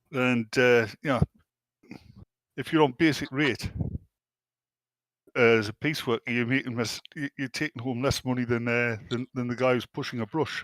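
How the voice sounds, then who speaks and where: A man with a British accent speaks at a moderate pace, his pitch medium and his intonation fairly even. He leaves long, frequent pauses, and the sound is dry and close with no echo. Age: 60s. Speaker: podcast panelist. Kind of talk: casual chat. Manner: halting.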